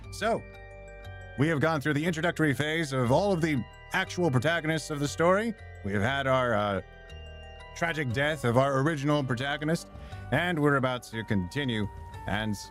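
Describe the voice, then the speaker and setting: With music playing in the background, a man speaks in a lively intonation broken by long, frequent pauses. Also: fairly high pitch for a man, fairly quick pace. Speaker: voice actor. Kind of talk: casual let's-play stream talk.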